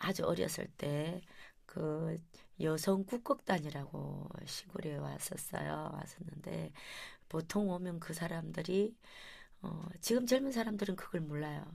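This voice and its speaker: The voice has vocal fry and ordinary pitch variation. It moves at a very slow pace. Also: woman, fairly low pitch for a woman. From Gyeongju area, South Korea. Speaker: traditional vocal music performer. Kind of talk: interview.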